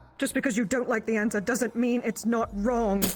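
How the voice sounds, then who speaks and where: The speaker puts on a character voice with fairly high pitch. The pace is moderate. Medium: actual play. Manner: defiant, curt.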